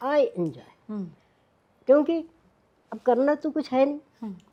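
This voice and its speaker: Lively in intonation and high in pitch, a woman speaks with long, frequent pauses. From India. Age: 80s+. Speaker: cooking channel personality, retired teacher. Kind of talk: interview answer.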